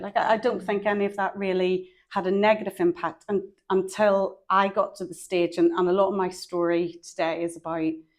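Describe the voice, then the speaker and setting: A woman talks with a Northern Irish accent. Her pace is moderate. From Northern Ireland. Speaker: psychologist. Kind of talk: podcast interview.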